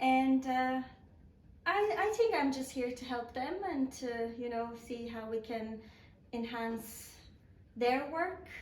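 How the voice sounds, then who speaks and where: In a room with audible echo, a woman with a high pitch speaks very slowly, her pitch varying an ordinary amount. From Croatia. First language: Croatian. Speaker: communications officer, journalist. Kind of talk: interview. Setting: on camera, office.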